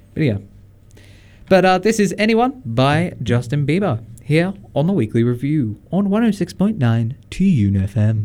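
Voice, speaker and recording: A man with an Australian accent, a dark, mellow tone, very wide pitch swings, and a very slow pace. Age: 20s. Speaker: radio host. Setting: radio studio. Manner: relaxed, jokey, conversational, with many fillers and laughs.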